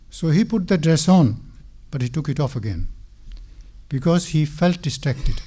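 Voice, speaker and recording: At a moderate pace, a man with a fairly high pitch, dark, mellow tone and vocal fry uses lively intonation broken by long, frequent pauses. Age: 70s. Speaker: mosque speaker. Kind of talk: religious talk.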